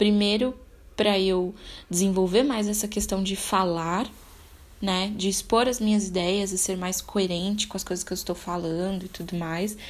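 Fairly even intonation and a moderate pace from a woman with a medium-pitched voice. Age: 20s. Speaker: podcaster. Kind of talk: solo monologue. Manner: casual, unscripted; halting.

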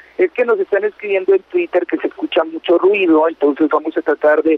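A man with a high pitch and ordinary pitch variation talks at a moderate pace. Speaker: entertainment radio host. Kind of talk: casual chat.

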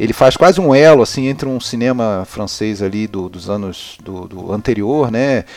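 A man's plain, everyday voice, medium in pitch, at a moderate pace with hardly any pauses, lively intonation and big swings in loudness. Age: 40s. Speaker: film podcaster, cinephile. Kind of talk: casual chat.

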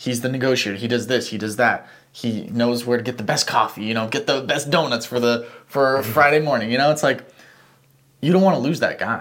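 At a fairly quick pace, a man speaks with medium pitch and ordinary pitch variation in a plain, everyday voice. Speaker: podcast co-host. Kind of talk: casual chat.

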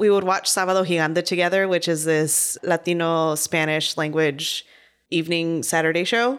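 On a very clean recording with a silent background, a woman talks at a moderate pace in a plain, everyday voice. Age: 30s. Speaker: podcast co-host, journalist. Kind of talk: casual chat.

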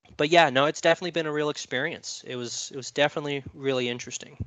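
A man with an ordinary speaking voice, fairly even intonation and a fairly quick pace. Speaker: army veteran. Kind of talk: casual chat.

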